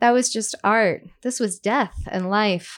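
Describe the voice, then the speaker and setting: Speaking in an unremarkable speaking voice with an American accent, a woman talks at a fairly slow pace with fairly even intonation in a very clean recording with a silent background. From US Northeast (Brooklyn, New York). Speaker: novelist. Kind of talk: reading aloud; casual chat. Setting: stage with audience.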